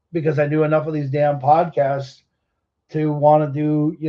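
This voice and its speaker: In an American accent, a man speaks with a fairly high pitch and monotone, flat intonation. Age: 40s. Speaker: car show podcast host. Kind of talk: casual monologue podcast. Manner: rambling, hesitant with fillers.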